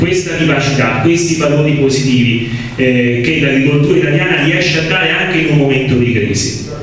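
The speech moves at a moderate pace with ordinary pitch variation. Light background noise sits under a strong room echo. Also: man. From Lazio, Italy. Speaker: political representative. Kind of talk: public talk at a conference. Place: hall.

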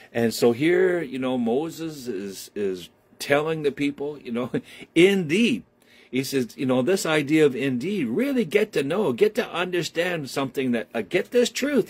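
Swinging very widely in pitch, a man speaks in a fairly high voice. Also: moderate pace. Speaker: preacher. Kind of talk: sermon. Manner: warm, animated preacher's delivery with call-and-response. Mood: warm, folksy, jokey. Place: home room. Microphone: phone near.

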